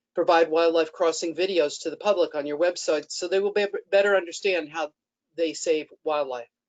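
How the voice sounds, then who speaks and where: A woman talks at a fairly quick pace with fairly even intonation. Hers is an unremarkable speaking voice. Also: fairly low pitch for a woman. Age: 60s. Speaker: public commenter. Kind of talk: public comment statement. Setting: webinar. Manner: formal.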